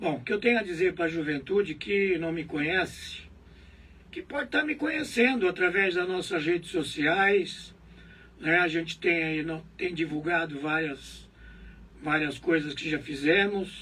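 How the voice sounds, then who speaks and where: At a fairly slow pace, a man talks with a high pitch and ordinary pitch variation. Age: 70s. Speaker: local politician. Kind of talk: interview.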